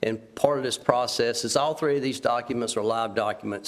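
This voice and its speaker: Over noticeable background noise, a man speaks at a moderate pace. His medium pitch carries fairly even intonation. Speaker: county department official presenting a report. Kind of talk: public meeting presentation. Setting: county commissioners' meeting.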